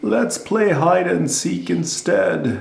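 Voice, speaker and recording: The man puts on a character voice pitched rather high. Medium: read story. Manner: gentle, warm.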